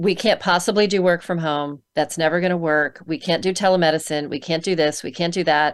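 On a very clean recording with a silent background, a woman with an ordinary speaking voice talks at a fairly low pitch and fairly quick pace, with hardly any pauses and fairly even intonation. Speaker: psychologist and author. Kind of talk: interview.

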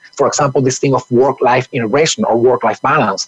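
A man speaks at a fairly quick pace in a normal speaking voice, his pitch fairly high. The sound is dry and close, with no echo. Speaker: HR expert guest. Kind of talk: conversational interview talk.

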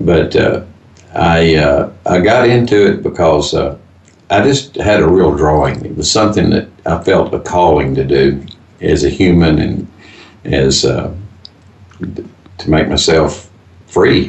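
A man with a Texan accent speaks at a very slow pace, with a very deep, low pitch and lively intonation. Long pauses come frequently. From Texas, Fort Worth. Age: 80s+. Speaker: business owner. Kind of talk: interview. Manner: halting.

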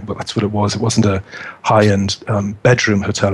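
This man's voice is somewhat breathy and fairly low in pitch. He talks at a fairly quick pace. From northeast England. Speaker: local government HR director. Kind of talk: interview.

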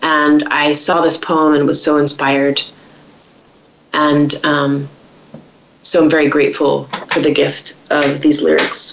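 A woman with an American accent speaks at a very slow pace in a very deep, low pitch, monotone and flat, at very even loudness, with noticeable background noise. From United States. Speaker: singer-songwriter. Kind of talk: interview.

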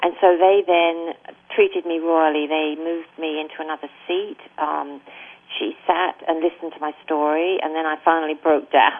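A woman talks in an English accent with a fairly low pitch. Her intonation is monotone and flat. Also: moderate pace. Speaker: denied immigrant. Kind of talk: interview.

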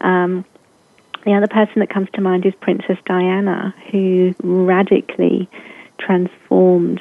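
In a British accent, a woman speaks at medium pitch and a fairly slow pace with monotone, flat intonation. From England. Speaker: coach or speaker on love and relationships. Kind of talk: casual interview chat.

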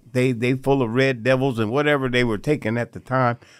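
With ordinary pitch variation, a man speaks in a plain, everyday voice. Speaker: guest brother. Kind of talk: casual conversation interview. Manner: repetitive, conversational.

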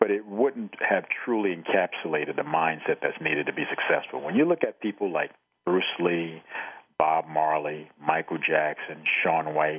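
Noticeable background noise sits behind a man speaking at a moderate pace. His pitch is very deep and low. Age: 50s. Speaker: retired Marine and author. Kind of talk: radio interview.

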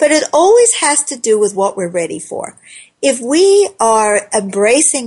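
This woman has a normal speaking voice. Her intonation is lively and her pace moderate. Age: 60s. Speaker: talk radio host. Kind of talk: call-in radio talk show.

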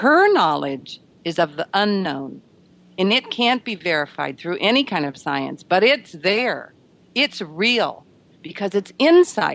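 A woman speaks very slowly at a medium pitch, with very wide pitch swings. Vocal fry runs through her voice over a quiet background. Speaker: author. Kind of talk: radio interview.

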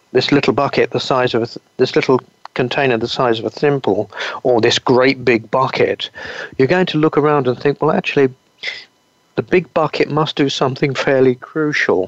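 Speaking with an English accent, a man keeps his loudness very even. His fairly high pitch varies in an ordinary way, and the sound is dry and close with no echo. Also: moderate pace. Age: 60s. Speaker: naturopath. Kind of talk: interview.

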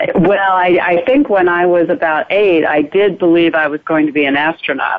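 A woman with an American accent speaks at a fairly low pitch and moderate pace. Noticeable background noise sits behind her. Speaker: soap opera actress. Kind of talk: live interview.

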